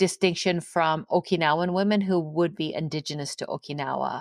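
A woman's ordinary speaking voice, fairly low in pitch with lively intonation at a moderate pace, dry and close with no echo on a very clean recording with a silent background. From England and Canada. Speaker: professor and author. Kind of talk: interview.

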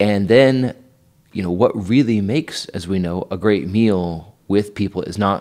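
A man with an American accent has an ordinary speaking voice, a fairly low pitch and ordinary pitch variation. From Idaho. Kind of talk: casual interview on faith and family life.

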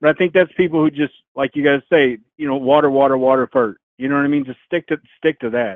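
Fairly high for a man, this American-accented voice moves at a fairly quick pace with fairly even intonation. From Arkansas, lives in Indiana. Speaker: caller. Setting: phone call.

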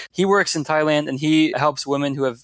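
A man talks at a moderate pace with an American accent and fairly even intonation. His is an unremarkable speaking voice. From US, Washington DC area (Fairfax County, Virginia). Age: 20s. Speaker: nonprofit founder. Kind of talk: interview.

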